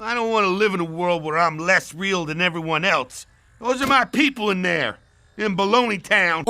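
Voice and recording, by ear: A man in a cartoonish character voice, high for a man, on a very clean recording with a silent background. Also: moderate pace.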